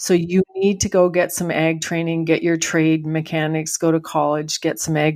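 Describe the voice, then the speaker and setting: An ordinary speaking voice belongs to this woman, who has a fairly low pitch and keeps a moderate pace. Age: 60s. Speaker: farm family transition consultant. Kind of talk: interview.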